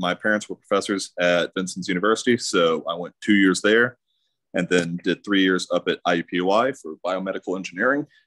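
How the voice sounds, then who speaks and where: A man with a very deep, low pitch and an American accent, moderate pace, fairly even intonation and a quiet background. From US Midwest (southern Indiana). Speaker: engineer; interviewee. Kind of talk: webinar interview; interview answer. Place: home room. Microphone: video call.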